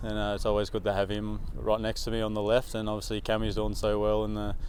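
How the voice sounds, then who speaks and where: A man's fairly quick speech with an Australian accent. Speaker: professional footballer. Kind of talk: press interview. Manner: halting, many repetitions and fillers.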